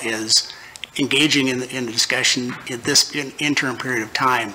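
A man talks at a moderate pace with monotone, flat intonation as light background noise hums beneath him. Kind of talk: formal advisory answer at meeting. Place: hall. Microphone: podium.

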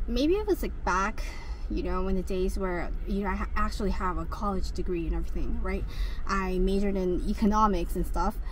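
A woman talks at a moderate pace, the sound dry with no echo and light background noise behind her. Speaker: delivery driver vlogger. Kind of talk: casual vlog chat. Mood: reflective rant. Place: car. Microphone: phone near.

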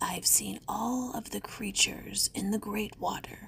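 A put-on character voice, raspy and at a fairly slow pace. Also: female-sounding voice. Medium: read story. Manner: fawning, wheedling flattery; gloating laughter at the end.

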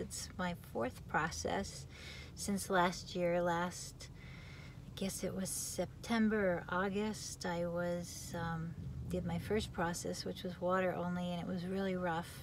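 At a fairly slow pace, a woman speaks in a dry sound with no echo, with noticeable background noise present. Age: 50s. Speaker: vlogger sharing fasting experience. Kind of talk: personal testimony vlog. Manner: casual, hesitant with fillers. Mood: calm, friendly. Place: car. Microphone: phone near.

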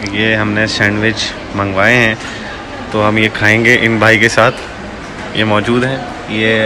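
A man speaks in a fairly low, monotone voice with flat intonation. His pace is fairly slow, with noticeable background noise. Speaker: vlogger. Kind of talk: casual vlog chat. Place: cafe. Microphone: phone near.

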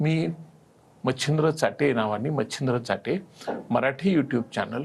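A somewhat breathy man talks at a fairly high pitch with ordinary pitch variation. His loudness stays very even. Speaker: coaching class founder and teacher. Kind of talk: TV interview.

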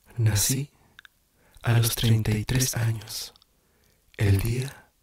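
A man whispers in a soft-spoken voice. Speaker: poetry reader. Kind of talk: poetry reading, ASMR whispered reading. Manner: whispered, soft-spoken. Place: home room. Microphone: studio mic.

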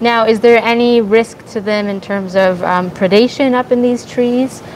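A woman speaks at a moderate pace with fairly even intonation and a fairly high pitch. Faint background noise can be heard.

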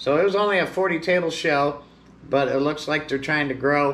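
The man's speech moves along at a moderate pace. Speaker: seller. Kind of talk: casual vlog chat. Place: shop.

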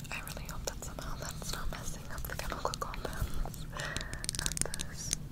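The voice is a whisper. It is soft-spoken throughout. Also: moderate pace. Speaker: ASMR creator. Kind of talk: soft ASMR product show-and-tell. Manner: soft close-mic ASMR whisper. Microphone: lapel.

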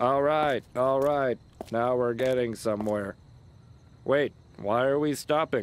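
With long, frequent pauses, a man performs a cartoonish character voice. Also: medium pitch for a man, moderate pace. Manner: eager, upbeat then anxious.

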